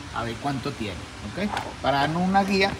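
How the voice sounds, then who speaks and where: Noticeable background noise is present. Through it comes a man's voice. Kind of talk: tutorial. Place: garage. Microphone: phone near.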